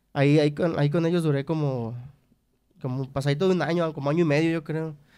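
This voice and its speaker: Against a quiet background, a man talks at a fairly quick pace in a fairly high pitch. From Mexico, Nayarit. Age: 30s. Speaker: trumpet player in a regional Mexican band; podcast guest. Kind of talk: interview. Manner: halting, repeats words. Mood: relaxed storytelling. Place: studio. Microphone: studio mic.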